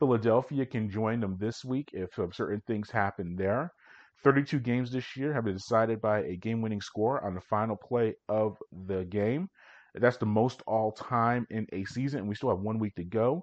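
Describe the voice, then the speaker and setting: A man with an unremarkable speaking voice, medium pitch, a moderate pace and ordinary pitch variation. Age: 40s. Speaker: sports podcast host. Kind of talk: solo sports recap.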